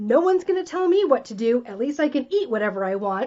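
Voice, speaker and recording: Her tone is animated as a woman speaks at a high pitch and a fairly quick pace. Her pitch swings very wide. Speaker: wellness coach. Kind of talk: live-streamed talk. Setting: live video stream. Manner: fast.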